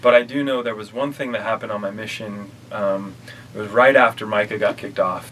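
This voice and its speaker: The speech moves at a fairly quick pace with fairly even intonation and big swings in loudness, over noticeable background noise. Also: man, medium pitch for a man. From Utah, north of Salt Lake City. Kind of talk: casual interview testimony.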